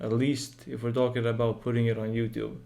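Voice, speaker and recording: The tone is dark and mellow, at a moderate pace. Audible room echo surrounds the voice. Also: man. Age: just turned 18. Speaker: game developer and YouTuber. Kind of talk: casual channel update vlog. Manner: monotone; halting, with fillers.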